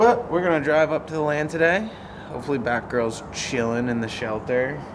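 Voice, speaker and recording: Amid noticeable background noise and audible room echo, a man talks at a moderate pace with lively intonation. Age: 30s. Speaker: vlogger, cat rescuer. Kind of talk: casual vlog monologue. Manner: casual, conversational.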